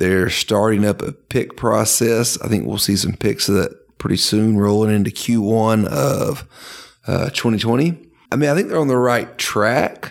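At a moderate pace, an ordinary speaking voice moves through ordinary pitch variation. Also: man, fairly low pitch for a man. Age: 30s. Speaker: podcast co-host, pharmacist. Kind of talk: casual chat.

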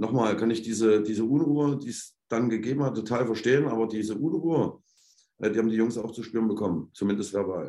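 Speaking at a very fast pace, a man with a dark, mellow tone keeps a medium pitch with ordinary pitch variation. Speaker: football head coach. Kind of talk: interview. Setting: remote call from the stadium.

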